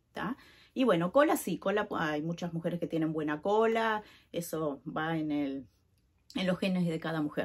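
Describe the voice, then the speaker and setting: On a very clean recording with a silent background, a woman speaks in a Uruguayan accent. Her voice is fairly low, and her intonation is lively. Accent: Uruguayan Rioplatense Spanish. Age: 40s. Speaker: vlogger. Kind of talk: personal vlog. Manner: casual, filler-heavy.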